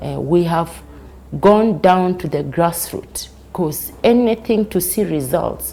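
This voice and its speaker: Vocal fry runs through the speech, which has lively intonation. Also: woman. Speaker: advocate for rights of the elderly. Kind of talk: news interview.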